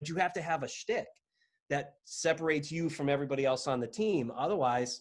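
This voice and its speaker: At a fairly quick pace, a man in an ordinary speaking voice talks with a fairly high pitch and ordinary pitch variation. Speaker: podcast host. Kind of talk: casual podcast conversation.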